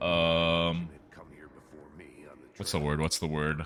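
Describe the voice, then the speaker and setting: Very slowly, a man speaks in a very deep, low pitch with a bright, sharp tone. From South Korea, Seoul. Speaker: video game speedrunner and streamer. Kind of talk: casual livestream chat. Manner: animated.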